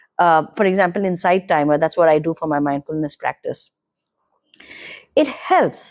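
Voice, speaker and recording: Dry and close with no echo, the voice in a Kannada accent has ordinary pitch variation and long, frequent pauses. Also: woman, fairly low pitch for a woman, moderate pace. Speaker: podcast guest. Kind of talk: casual interview conversation.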